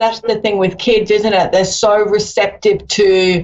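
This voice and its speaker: The speaker talks at a fairly slow pace with an Australian accent. The intonation stays flat and monotone. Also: woman. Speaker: psychic medium. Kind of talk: live phone-in reading.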